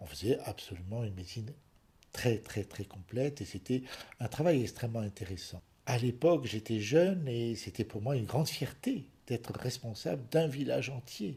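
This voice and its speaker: A man's somewhat breathy, dark, mellow voice sits at medium pitch, with lively intonation at a moderate pace. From France, Paris suburbs. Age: 70s. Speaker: retired general practitioner. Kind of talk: interview testimony.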